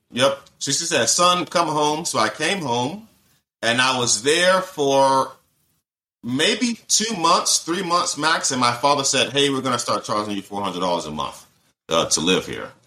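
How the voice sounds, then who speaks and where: With very wide pitch swings, a man speaks in a bright, sharp tone at a fairly high pitch. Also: moderate pace. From US South (Georgia). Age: 30s. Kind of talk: casual interview, personal testimony.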